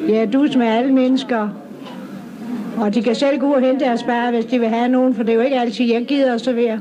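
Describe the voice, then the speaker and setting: Over noticeable background noise and audible room echo, a woman speaks with a high pitch and monotone, flat intonation. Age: 60s. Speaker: pub owner. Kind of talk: interview. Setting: outdoors at a town square.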